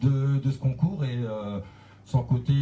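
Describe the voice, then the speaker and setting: A man speaks at a medium pitch with a northern French accent and fairly even intonation. Music plays in the background. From northern France. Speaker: DJ. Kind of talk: radio interview. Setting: radio studio. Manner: hesitant, many fillers.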